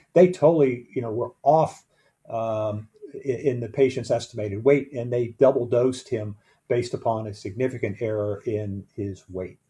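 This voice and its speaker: A man's medium-pitched voice has a dark, mellow tone and is somewhat breathy. He keeps a moderate pace with ordinary pitch variation. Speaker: EMS medical director or educator. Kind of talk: training lecture.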